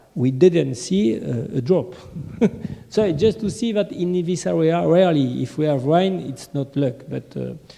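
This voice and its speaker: Through noticeable background noise, a man speaks fairly slowly in a fairly high pitch with lively intonation. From France. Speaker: business owner and distributor. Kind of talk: business meeting discussion. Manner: halting.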